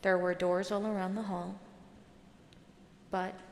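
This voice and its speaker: A soft-spoken woman talks in a medium pitch with a soothing tone. Her intonation is monotone and flat. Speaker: audiobook narrator. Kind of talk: sleep story. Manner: soft-spoken, soothing.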